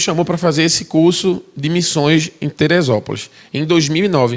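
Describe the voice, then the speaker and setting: Delivered at a moderate pace, the speech carries a strong northeastern Brazilian accent. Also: man. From Brazil, Recife (Pernambuco). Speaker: missionary. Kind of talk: testimony.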